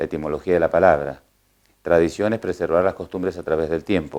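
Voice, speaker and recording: His intonation is fairly even. The man has a very deep, low pitch. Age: 60s. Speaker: horse trainer and coachman. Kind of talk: interview. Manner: hesitant, many fillers.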